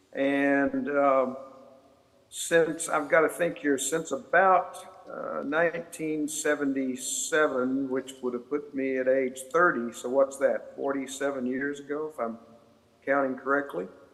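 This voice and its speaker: There is noticeable background noise as a man talks at a fairly slow pace. His pitch is fairly high, and his intonation is fairly even. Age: 70s. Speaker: author and scholar. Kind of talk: panel discussion. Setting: video call.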